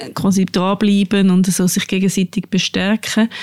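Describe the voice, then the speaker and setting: A woman talks at a medium pitch and a fairly slow pace. Her intonation is flat and monotone, and the sound is dry and close with no echo. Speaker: podcast host, journalist. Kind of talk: casual chat. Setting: studio.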